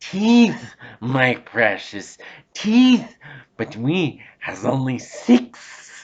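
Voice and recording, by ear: Putting on a character voice, a man speaks at a very slow pace with very wide pitch swings and audible hissing. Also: fairly high pitch for a man.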